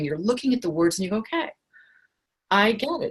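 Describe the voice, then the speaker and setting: Somewhat breathy and animated, a woman speaks at a fairly high pitch with lively intonation. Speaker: writing teacher and author. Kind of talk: workshop lecture on a group call. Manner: fast.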